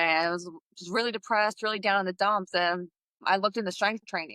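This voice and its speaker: A woman with a New Jersey accent speaks at a medium pitch with a bright, sharp tone and fairly even intonation, the sound dry and close with no echo. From New Jersey, US. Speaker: fitness coach and entrepreneur, Navy veteran. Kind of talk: podcast interview.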